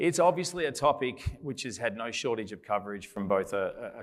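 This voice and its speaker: A man speaks with an Australian accent. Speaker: panel moderator, consultant. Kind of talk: conference panel moderation.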